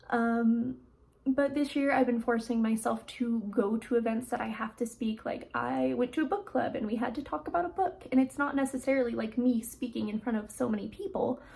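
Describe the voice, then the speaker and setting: A woman with a high pitch talks at a fairly quick pace with ordinary pitch variation. Noticeable background noise can be heard. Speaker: lifestyle vlogger. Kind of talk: casual vlog reflection. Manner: quiet, sometimes mutters; conversational, many fillers.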